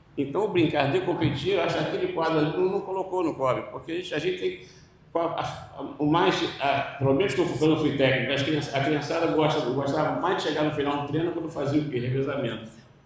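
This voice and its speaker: A fairly high-pitched male voice at a fairly quick pace, fairly even in intonation, with audible room echo and noticeable background noise. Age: 60s. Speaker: panel moderator, former swimming coach. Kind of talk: panel discussion.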